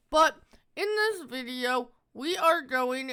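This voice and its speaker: A man projects his extremely high, bright and sharp voice at a very slow pace with lively intonation. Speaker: gaming video creator. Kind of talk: game review.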